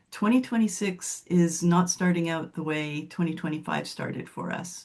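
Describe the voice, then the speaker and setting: Somewhat breathy, a woman with a fairly low pitch talks at a moderate pace with ordinary pitch variation. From Montreal, Quebec. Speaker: author coach. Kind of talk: webinar introduction.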